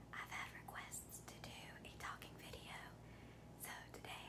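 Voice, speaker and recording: Loud background noise fills the clip. A woman speaks at a fairly slow pace. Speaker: eating video creator. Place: home room.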